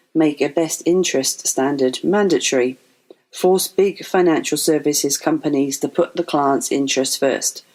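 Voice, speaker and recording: In an English accent, a woman speaks at a very deep, low pitch with ordinary pitch variation, very even loudness and a moderate pace. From England. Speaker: financial advisor. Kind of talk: podcast monologue.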